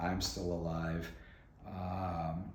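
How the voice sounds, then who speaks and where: A man's very deep, low voice with ordinary pitch variation, noticeable background noise and audible room echo. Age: 60s. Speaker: shop owner giving a house tour. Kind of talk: casual chat.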